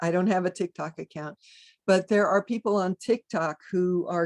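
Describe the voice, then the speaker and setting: A normal speaking voice at a moderate pace with fairly even intonation and a dry, close sound with no echo. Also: woman. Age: 60s. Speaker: druid teacher and pagan author. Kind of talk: interview.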